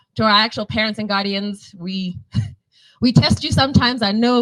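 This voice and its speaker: A woman's fairly high voice moves with lively intonation. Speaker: school staff member. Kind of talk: closing speech at press conference. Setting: cinema press conference.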